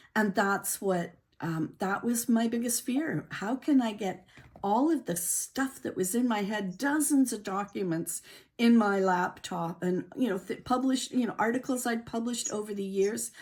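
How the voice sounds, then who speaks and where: At a moderate pace, a woman's fairly high, somewhat breathy voice rises and falls in an ordinary way. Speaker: author and speaking coach. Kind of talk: interview.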